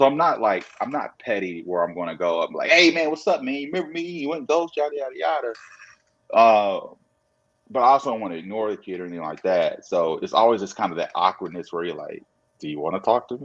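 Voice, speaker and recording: A man with a medium-pitched voice speaks very fast, his pitch swinging very widely and his loudness rising and falling sharply. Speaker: sports agent. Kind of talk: interview. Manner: casual, conversational.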